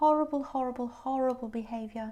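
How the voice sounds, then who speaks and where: A woman speaks in a British accent. Her voice is high-pitched with a dark, mellow tone. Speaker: tarot reader. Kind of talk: tarot reading to camera. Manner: animated.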